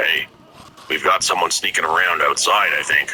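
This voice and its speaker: Putting on a raspy character voice pitched extremely high, a man speaks at a moderate pace. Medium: read story.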